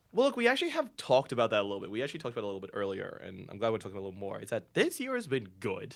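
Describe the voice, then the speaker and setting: Talking very fast with hardly any pauses, a man swings widely in loudness, captured in a very clean recording with a silent background. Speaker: podcast host. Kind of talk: casual chat. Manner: sounds slightly out of breath when introducing; lowered voice for intro.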